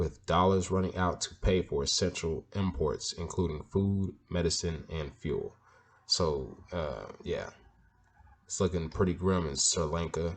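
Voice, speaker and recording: The man's voice sits at a very deep, low pitch. His intonation is fairly even. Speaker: news commentary youtuber. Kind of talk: reading news articles aloud with commentary. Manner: casual, halting with fillers.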